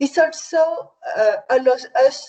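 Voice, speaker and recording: With a French accent, a woman talks at a very slow pace. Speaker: victim support organisation head. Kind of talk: conference presentation. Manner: halting.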